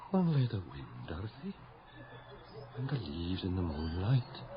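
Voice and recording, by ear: Over faint background noise, a man puts on a character voice, low in pitch with very wide swings, at a fairly slow pace.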